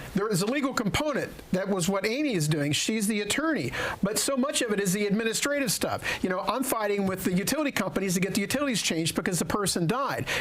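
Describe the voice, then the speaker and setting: Someone talks at a very fast pace over noticeable background noise. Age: 60s. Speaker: elder care adviser. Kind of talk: radio talk show interview.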